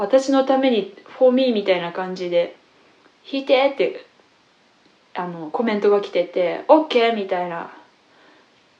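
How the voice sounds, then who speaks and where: An ordinary speaking voice comes at a fairly slow pace, with lively intonation and big swings in loudness. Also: woman. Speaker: classical guitarist and teacher. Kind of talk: casual radio-style talk.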